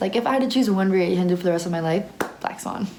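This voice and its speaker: A woman speaks in an animated tone at medium pitch, with audible room echo and noticeable background noise. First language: Spanish. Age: young. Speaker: ballet student and vlogger. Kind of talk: casual Q&A vlog. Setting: ballet dorm room.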